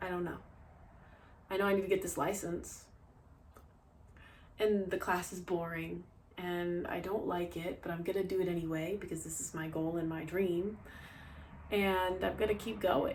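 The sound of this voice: A woman speaks at a fairly slow pace with a medium pitch and a slightly mellow tone. Room echo is audible.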